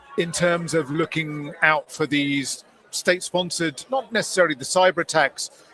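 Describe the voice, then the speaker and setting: A high-pitched man speaks at a moderate pace with ordinary pitch variation, in a dry, close sound with no echo but noticeable background noise. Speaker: tech journalist interviewer. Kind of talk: interview. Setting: exhibition floor.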